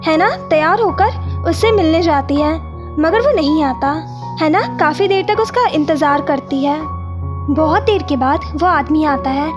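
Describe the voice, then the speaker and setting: A woman speaks at a very even loudness. Music plays in the background. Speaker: YouTube story narrator. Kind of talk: animated movie recap narration.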